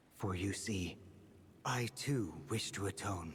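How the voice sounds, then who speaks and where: Against clear background noise, a man uses a put-on character voice at a fairly low pitch, speaking fairly slowly with ordinary pitch variation. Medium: video game. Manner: formal, deferential.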